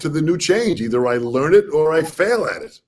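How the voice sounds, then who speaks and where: An ordinary speaking voice from a man with an American accent, lively intonation and a moderate pace. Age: 60s. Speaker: drum educator and interview host. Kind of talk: interview. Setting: video call.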